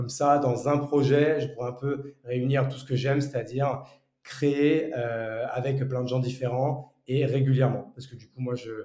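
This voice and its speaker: A man speaks slowly-ish, at a fairly slow pace, in a dark, mellow, somewhat breathy tone with monotone, flat intonation. His loudness swings widely, and audible room echo is present. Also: medium pitch for a man. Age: 30s. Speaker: entrepreneur. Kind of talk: casual interview conversation. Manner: hesitant, many fillers and repetitions.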